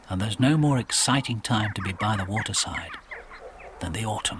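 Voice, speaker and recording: A man's fairly low, calm, gentle voice at a fairly quick pace, with ordinary pitch variation and noticeable background noise. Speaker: documentary narrator. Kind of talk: nature documentary narration.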